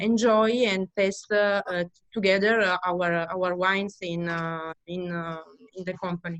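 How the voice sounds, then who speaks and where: A woman with an Italian accent and a medium pitch speaks at a fairly slow pace in a monotone, flat intonation. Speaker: winery owner family member. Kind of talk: interview. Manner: halting.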